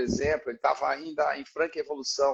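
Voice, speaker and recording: A man talking at a moderate pace. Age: 60s. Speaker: physiotherapist. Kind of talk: panel discussion. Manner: halting.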